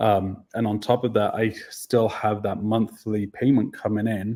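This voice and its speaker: Very slowly and in a Welsh accent, a man speaks at a medium pitch with a dark, mellow tone and fairly even intonation. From Wales. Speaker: dog training business owner. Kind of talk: interview. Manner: hesitant, many fillers.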